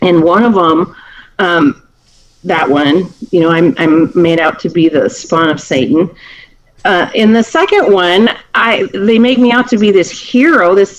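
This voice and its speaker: This woman talks at a fairly slow pace in a medium-pitched voice, her intonation lively and her loudness very even. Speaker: county prosecutor. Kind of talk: talk to a seniors group. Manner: clear, speaks up.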